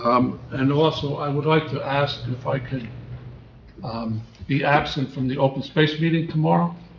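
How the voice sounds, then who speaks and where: The speech carries audible room echo. Its pace is moderate, with ordinary pitch variation. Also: man. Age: 70s. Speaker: town council member. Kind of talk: council meeting report. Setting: municipal council meeting.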